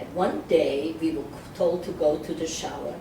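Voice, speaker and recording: Over noticeable background noise, a woman speaks at a fairly slow pace and a fairly low pitch. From Czechoslovakia. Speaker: Holocaust survivor. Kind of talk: oral history interview answer.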